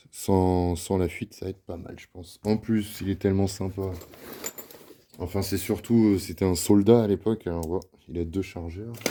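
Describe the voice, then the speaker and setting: This man has a very deep, low pitch and a dark, mellow tone. He speaks at a moderate pace with fairly even intonation. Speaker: airsoft hobby youtuber. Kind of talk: casual tutorial and test commentary. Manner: hesitant, many fillers.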